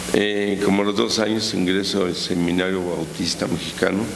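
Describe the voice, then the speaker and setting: The speech comes at a fairly slow pace with fairly even intonation. Noticeable background noise and audible room echo are present. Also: man. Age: 60s. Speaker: pastor. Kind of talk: interview.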